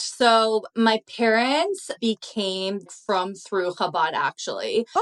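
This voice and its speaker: A woman talks at a very slow pace in a Canadian accent. Her voice comes through dry and close, with no echo. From Canada, Toronto. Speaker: social media creator. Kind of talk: casual chat.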